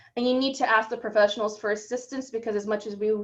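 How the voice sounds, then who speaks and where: Audible room echo surrounds a woman's voice. She talks at a very fast pace with a fairly high pitch. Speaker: librarian. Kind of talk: conference presentation.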